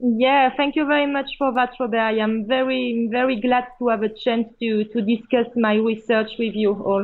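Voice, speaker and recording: With a French accent, a woman speaks at a fairly high pitch with fairly even intonation. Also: moderate pace. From France. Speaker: procurement professional. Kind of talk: interview. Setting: Skype call.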